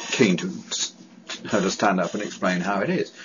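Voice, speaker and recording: Speaking with a British accent, a man with a very deep, low pitch keeps a moderate pace and ordinary pitch variation. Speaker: person who stammers, advocate. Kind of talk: testimony. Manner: halting.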